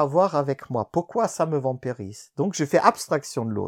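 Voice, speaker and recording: A man speaks with lively intonation in a dry, close sound with no echo. The recording is very clean, with a silent background. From Germany. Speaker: collaborative intelligence consultant. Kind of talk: interview. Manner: halting.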